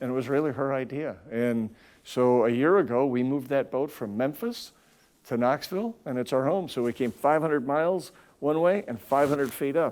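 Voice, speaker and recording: A man with a Wisconsin accent speaks at a moderate pace in a fairly high pitch with ordinary pitch variation. The recording is very clean, with a silent background. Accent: Upper Midwest (Wisconsin). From Wisconsin, north of Milwaukee. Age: 60s. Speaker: company CEO. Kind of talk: interview.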